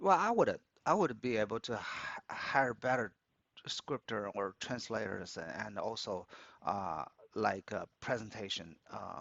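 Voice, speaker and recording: At a fairly slow pace, a man with a Chinese accent speaks in a medium pitch with ordinary variation. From China, Beijing. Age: 60s. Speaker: opera club organizer and business analyst. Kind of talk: interview. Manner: halting, many repetitions and fillers.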